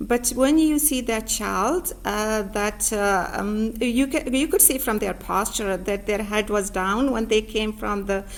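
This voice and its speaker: The speaker talks at a fairly slow pace with hardly any pauses. Pitch varies in an ordinary way. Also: woman, fairly high pitch for a woman. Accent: non-native. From Pakistan, rural village. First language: not English. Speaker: author and learning center owner. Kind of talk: interview. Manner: halting, many fillers.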